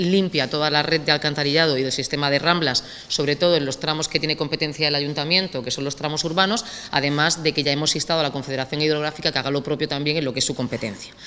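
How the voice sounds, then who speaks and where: A woman's very deep, low voice at a very fast pace, with fairly even intonation. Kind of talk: press statement. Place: hall. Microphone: podium.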